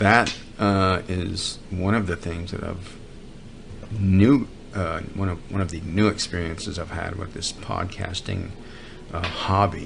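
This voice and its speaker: Mumbling in an American accent, a man talks fairly slowly in a very deep, low voice. His intonation is fairly even, and the room echo is audible. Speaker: podcast host. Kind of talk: comedic monologue. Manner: mumbling, trails into lower voice; halting.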